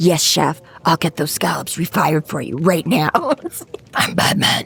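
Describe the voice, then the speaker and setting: A raspy, put-on character voice sits at a middle pitch. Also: moderate pace. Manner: mocking.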